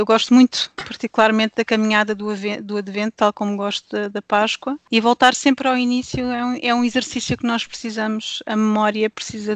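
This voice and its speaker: A woman speaks at a moderate pace in a flat monotone, her pitch fairly high, with a dry, close sound and no echo. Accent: European Portuguese. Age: 40s. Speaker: pastor's wife and devotional author. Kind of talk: casual chat.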